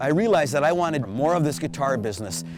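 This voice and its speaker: A man with an Upper Midwest accent talks at a fairly quick pace and a fairly high pitch. Music plays behind him. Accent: Upper Midwest (Minnesota). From Minnesota Iron Range. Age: 60s. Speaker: jazz guitarist and guitar teacher. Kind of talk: interview monologue.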